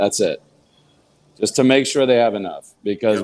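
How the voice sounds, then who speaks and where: A man with a plain, everyday voice at medium pitch, talking at a fairly quick pace with ordinary pitch variation. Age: 40s. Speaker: comedian and podcast co-host. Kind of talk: casual chat.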